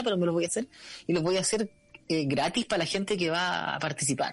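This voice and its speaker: Over a quiet background, a man with a Chilean accent talks very fast at a high pitch. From Chile, Santiago (La Pintana). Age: 40s. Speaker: musician. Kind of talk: casual chat.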